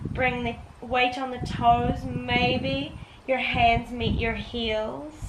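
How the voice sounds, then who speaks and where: A woman speaks in a high voice. Noticeable background noise and audible room echo surround her. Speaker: yoga teacher. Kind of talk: guided yoga class.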